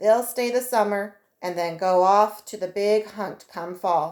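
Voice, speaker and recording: A woman puts on a character voice, drawling at a fairly slow pace. Her pitch is medium, her intonation fairly even, and her loudness swings widely. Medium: read story. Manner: drawling, rough frontier talk.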